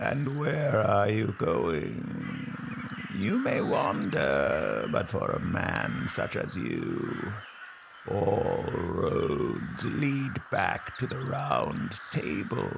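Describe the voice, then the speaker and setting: At a very slow pace, a man performs a put-on character voice over clear background noise. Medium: audio drama.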